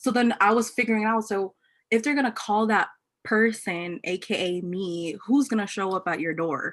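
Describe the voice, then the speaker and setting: A woman with an American accent and an ordinary speaking voice, fairly high in pitch, with ordinary pitch variation, at a moderate pace, in a very clean recording with a silent background. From Los Angeles. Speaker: entrepreneur. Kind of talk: casual chat.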